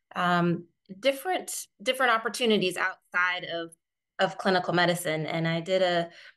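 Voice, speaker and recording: A woman with an American accent speaks at a moderate pace in a bright, sharp tone with ordinary pitch variation. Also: medium pitch for a woman. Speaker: physician coach. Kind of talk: podcast interview. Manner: hesitant, many fillers.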